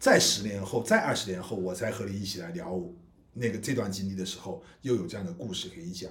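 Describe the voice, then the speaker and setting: A man talks at a very fast pace with lively intonation. Audible room echo surrounds his voice. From China, Guizhou. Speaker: independent film director and podcast co-host. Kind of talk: casual chat.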